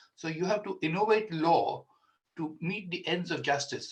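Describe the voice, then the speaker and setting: A man with an Indian accent speaks in a high voice with ordinary pitch variation. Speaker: senior solicitor, law firm founder. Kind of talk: speech. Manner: halting.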